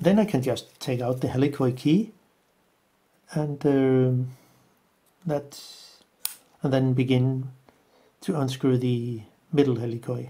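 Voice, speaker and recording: Fairly slow speech in a non-native accent, with long, frequent pauses. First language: not English. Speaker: camera and lens repair tutor. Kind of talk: tutorial. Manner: halting.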